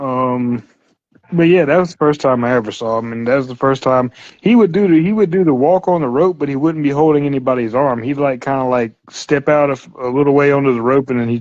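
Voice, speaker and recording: This man has an unremarkable speaking voice at a medium pitch. He talks at a fairly quick pace. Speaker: wrestling fan guest. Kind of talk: casual chat.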